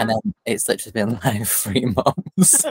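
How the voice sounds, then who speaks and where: With a dry, close sound and no echo, a man of medium pitch speaks at a moderate pace in an unremarkable speaking voice. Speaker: podcast co-host. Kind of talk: casual, chatty.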